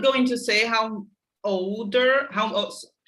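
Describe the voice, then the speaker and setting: Her pace is very slow. The woman speaks with a Portuguese accent at a fairly high pitch. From Brazil. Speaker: host. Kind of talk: interview.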